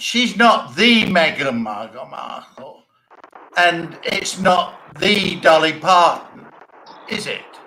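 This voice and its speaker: A man with a high pitch and lively intonation speaks at a very slow pace, his loudness swinging widely amid audible room echo. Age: 70s. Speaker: show host. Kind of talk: casual comedic chat. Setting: live stream, socially distant.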